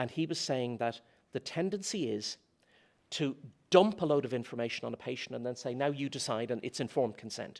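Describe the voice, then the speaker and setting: At a fairly quick pace, a man speaks with a Dublin accent and ordinary pitch variation. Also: medium pitch for a man. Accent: Dublin Irish. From Ireland, Dublin. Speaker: philosophy lecturer. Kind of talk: conference talk. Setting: conference stage with audience.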